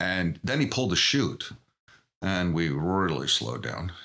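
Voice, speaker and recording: A man's voice, very deep and low in pitch. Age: 60s. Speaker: podcast guest. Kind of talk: interview.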